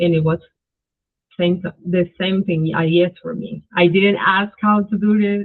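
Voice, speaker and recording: A woman with a Spanish accent, fairly low in pitch, at a fairly slow pace. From Colombia. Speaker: spiritual practitioner. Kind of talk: interview. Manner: halting.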